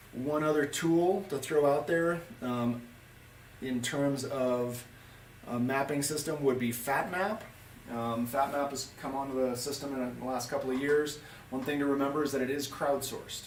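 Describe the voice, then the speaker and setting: Noticeable background noise and audible room echo accompany a man speaking with fairly even intonation. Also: fairly high pitch for a man. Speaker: ski guide. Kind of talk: tutorial. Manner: fast.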